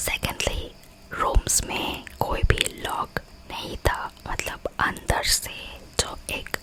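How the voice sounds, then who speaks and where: A woman whispers with big swings in loudness over noticeable background noise. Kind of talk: whispered ASMR horror storytelling. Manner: soft, whispered.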